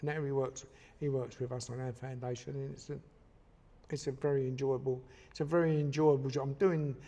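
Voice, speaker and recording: A man's dark, mellow, somewhat breathy voice at a medium pitch and fairly quick pace, with fairly even intonation. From East London, England. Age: 70s. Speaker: retired boxing referee. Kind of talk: podcast interview.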